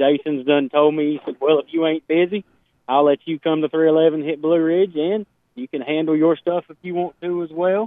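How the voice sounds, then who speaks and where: A man with an American accent and a normal speaking voice, fairly high in pitch, at a moderate pace with big swings in loudness. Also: fairly even intonation. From Portsmouth, Ohio, US. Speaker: dirt racing series organizer. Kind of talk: radio interview.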